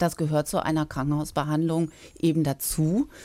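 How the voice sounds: Moving at a fairly quick pace, a woman speaks low with a dark, mellow tone and little pitch movement.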